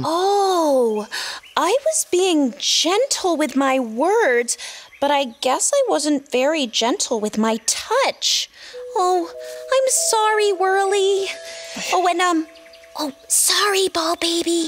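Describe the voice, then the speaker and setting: Over faint music in the background, a cartoonish character voice at an extremely high pitch speaks at a very slow pace. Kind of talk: preschool children's show. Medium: puppet. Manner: excited, hesitant.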